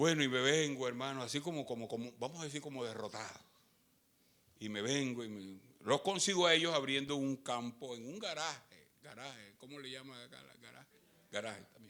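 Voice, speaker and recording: Speaking at a fairly quick pace, a man with a medium-pitched voice and a bright, sharp tone shows ordinary pitch variation and big swings in loudness. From Colombia. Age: 70s. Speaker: pastor. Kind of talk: sermon.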